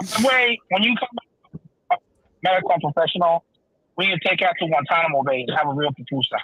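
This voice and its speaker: A man at a high pitch with lively intonation, a very fast pace and long, frequent pauses. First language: Spanish. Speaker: podcast co-host. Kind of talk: casual chat.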